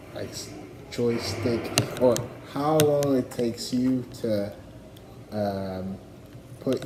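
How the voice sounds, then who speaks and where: A man speaks at a very slow pace. Noticeable background noise and audible room echo come through. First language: not English. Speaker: livestreamer. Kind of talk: casual rambling monologue. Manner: halting, many fillers.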